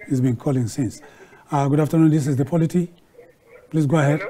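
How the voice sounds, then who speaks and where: Talking at a very fast pace, a man with a fairly high pitch uses ordinary pitch variation over light background noise. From Nigeria. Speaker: TV talk show host. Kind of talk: live TV discussion moderation. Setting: TV studio. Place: studio. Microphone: lapel.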